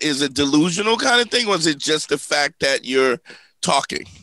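A fairly quick, animated delivery with a bright, sharp tone and lively intonation, dry with no echo over a quiet background. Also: man. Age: 50s. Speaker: comedian and relationship advice podcast host. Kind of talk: casual comedic podcast chat. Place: studio. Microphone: studio mic.

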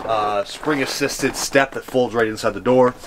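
Fairly even intonation at a moderate pace, with noticeable background noise. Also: man. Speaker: RV salesman. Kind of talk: product walkaround presentation. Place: street.

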